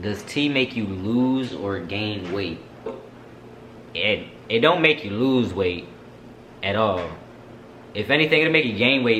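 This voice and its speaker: Over noticeable background noise, a man speaks with lively intonation and long, frequent pauses. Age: 20s. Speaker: vlogger. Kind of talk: casual Q&A vlog.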